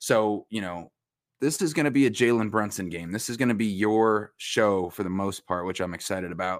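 An unremarkable speaking voice from a man with an American accent, a fairly quick pace and ordinary pitch variation, in a very clean recording with a silent background. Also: fairly low pitch for a man. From New York, Westchester County. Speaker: sports reporter and podcast co-host. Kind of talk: casual chat.

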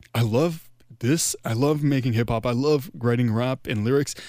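In a very clean recording with a silent background, a man at medium pitch speaks with ordinary pitch variation. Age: 20s. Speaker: podcaster and hip-hop musician. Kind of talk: casual chat.

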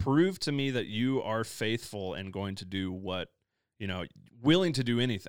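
An ordinary speaking voice, a man with an American accent, at medium pitch and moderate pace with lively intonation, on a very clean recording with a silent background. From US Midwest. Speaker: pastor. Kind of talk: casual chat.

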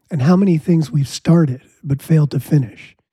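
Somewhat breathy and fairly high-pitched, a man talks at a moderate pace with ordinary pitch variation and a dry, close sound with no echo. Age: 50s. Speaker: podcast host and musician. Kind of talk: casual interview chat.

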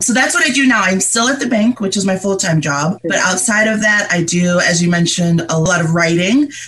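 With a General American accent, a woman talks at medium pitch and a fairly quick pace with hardly any pauses, her intonation lively and her loudness very even, over noticeable background noise. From Liberia, raised in upstate New York. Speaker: mental health advocate. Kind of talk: interview conversation.

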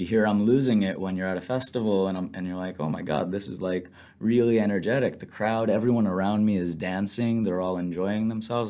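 On a very clean recording with a silent background, a man with an American accent talks at a fairly quick pace with hardly any pauses, his fairly low voice dark and mellow in tone, with ordinary pitch variation. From US Northeast (Long Island, New York). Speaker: business school student. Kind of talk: interview.

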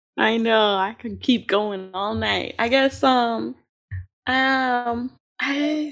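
The speech is very slow, with ordinary pitch variation. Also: woman, fairly high pitch for a woman. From Chicago. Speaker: podcast co-host and editor. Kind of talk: interview.

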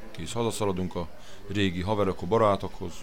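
Over noticeable background noise and audible room echo, a man with a very deep, low pitch talks at a fairly quick pace. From Hungary. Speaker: slaughterhouse worker. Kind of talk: interview. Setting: restaurant.

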